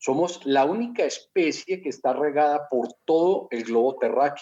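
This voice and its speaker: A man's fairly high voice has a dark, mellow tone and very wide pitch swings. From Colombia. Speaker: network marketing entrepreneur. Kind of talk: interview.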